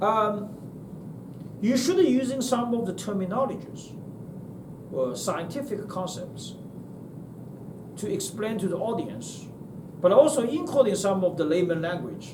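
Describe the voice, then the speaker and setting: A man with a Chinese accent speaks at a high pitch and a fairly slow pace, with lively intonation and long, frequent pauses. Audible room echo and noticeable background noise fill the recording. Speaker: university lecturer. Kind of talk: lecture. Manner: halting.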